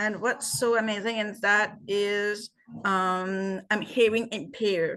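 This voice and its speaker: Someone speaks at a fairly slow pace with a French Canadian accent and fairly even intonation. The background is quiet. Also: woman. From Acadian Peninsula, New Brunswick, Canada. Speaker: artist. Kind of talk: casual discussion.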